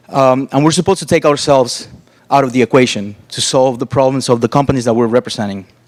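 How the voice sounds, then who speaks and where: At a very fast pace, a man with a Spanish accent speaks at medium pitch with ordinary pitch variation, the sound dry and close with no echo. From Cuba and Costa Rica. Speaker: interaction designer. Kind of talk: conference talk.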